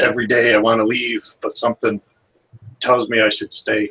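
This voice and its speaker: A raspy, put-on character voice speaks at a moderate pace. The sound is dry and close, with no echo. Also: man, medium pitch for a man. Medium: actual play.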